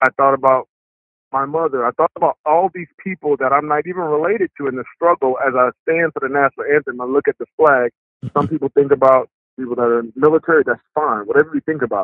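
A man speaks very fast in a fairly high voice with ordinary pitch variation. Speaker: former football player. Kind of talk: interview.

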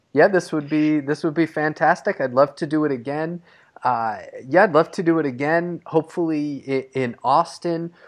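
A plain, everyday voice from a fairly high-pitched man, with ordinary pitch variation at a moderate pace over a quiet background. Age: 30s. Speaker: podcast host. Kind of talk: interview. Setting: remote call.

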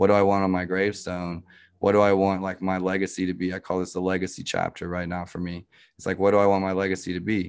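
A man's very deep, low voice at a very fast pace, monotone and flat, over a quiet background. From Africa (missionary childhood, born in Montreal). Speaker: e-commerce agency founder. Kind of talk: interview.

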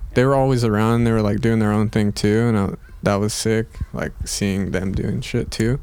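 A man speaks at a moderate pace with a flat, monotone delivery and medium pitch, over noticeable background noise. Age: 20s. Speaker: skateboarder. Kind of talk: casual chat.

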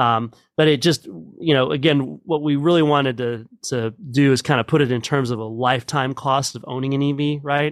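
A man with an American accent and a normal speaking voice talks at a moderate pace with fairly even intonation and a fairly high pitch, on a very clean recording with a silent background. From Texas, Midland. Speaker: energy policy analyst. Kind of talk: interview.

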